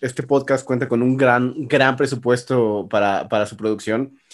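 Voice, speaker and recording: The speaker has an ordinary speaking voice, keeps a moderate pace, and shows big swings in loudness. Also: man. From Mexico City. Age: 30s. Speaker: podcast co-host. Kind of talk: casual chat. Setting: apartment home recording.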